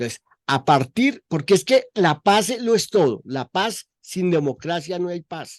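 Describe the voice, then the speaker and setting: A man with a high pitch speaks at a fairly slow pace, with very wide pitch swings and big swings in loudness, in a dry, close sound with no echo and a quiet background. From Colombia. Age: 70s. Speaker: journalist. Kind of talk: interview.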